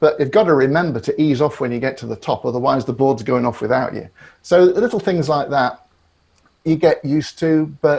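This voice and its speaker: Fairly high-pitched, a man speaks with a British accent and ordinary pitch variation. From Great Britain. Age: 60s. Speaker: psychotherapist. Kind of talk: podcast interview. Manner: halting, with repetitions.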